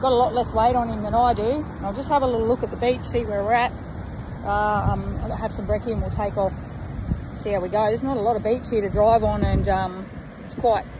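A woman at a fairly quick pace with fairly even intonation, in a dry sound with no echo and noticeable background noise. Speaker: travel vlogger. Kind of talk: casual vlog chat. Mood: cheerful, relaxed. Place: beach. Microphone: phone near.

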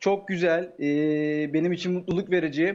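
A man talks at a moderate pace. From Turkey, Sakarya; Turkey. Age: 20s. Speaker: aspiring sports commentator, contest contestant; aspiring sports commentator. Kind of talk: live TV interview. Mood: polite, grateful. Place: home room. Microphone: earbuds.

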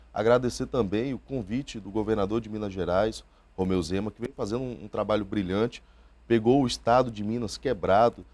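A man talks with a fairly low pitch at a moderate pace. His pitch varies in an ordinary way. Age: 30s. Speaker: politician. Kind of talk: interview. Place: studio. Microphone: lapel.

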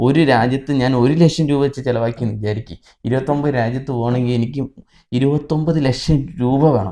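A man's dark, mellow voice at medium pitch with fairly even intonation. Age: 20s. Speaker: YouTuber, content creator. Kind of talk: casual Q&A chat.

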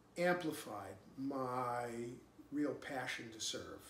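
With lively intonation, a man speaks in a room with audible echo. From New Hampshire, USA. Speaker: political candidate and former congressman. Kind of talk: campaign speech to camera. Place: home room.

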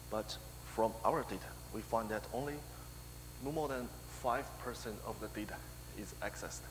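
Noticeable background noise sits behind this man's fairly low voice. He talks at a moderate pace. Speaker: conference presenter. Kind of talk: technical conference talk. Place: hall.

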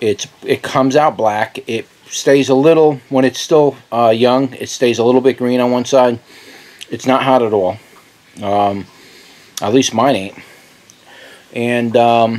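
A man speaks with fairly even intonation. His pauses are long and frequent. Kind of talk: casual vlog chat. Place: garden. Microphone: phone near.

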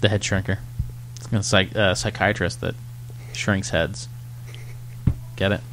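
A man with a very deep, low pitch, very wide pitch swings, a fairly slow pace, long, frequent pauses, and light background noise. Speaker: podcast host. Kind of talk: casual chat. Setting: bar. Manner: loud. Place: shop.

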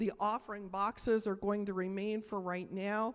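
Moderately paced speech from a woman, the background quiet. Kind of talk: church announcements. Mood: friendly, informative. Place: church. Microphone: handheld.

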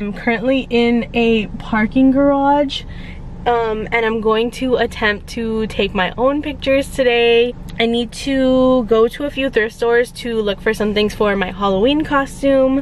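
The sound is dry with no echo, over light background noise. Delivery is fairly slow with fairly even intonation. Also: woman. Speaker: vlogger. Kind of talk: casual vlog chat. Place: car. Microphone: phone near.

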